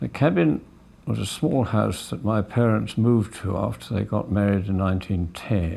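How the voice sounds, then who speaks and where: In a southern English accent, a man speaks at a fairly slow pace, his fairly low pitch showing ordinary variation. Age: 70s. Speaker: family film narrator. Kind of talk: home movie commentary. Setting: outdoors. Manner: casual, halting.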